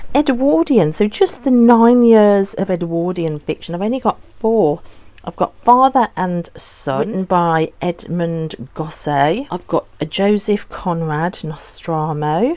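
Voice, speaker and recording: At a very slow pace, a woman with a dark, mellow tone speaks at medium pitch with lively intonation. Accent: Birmingham. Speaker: book vlogger. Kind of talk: casual vlog talk.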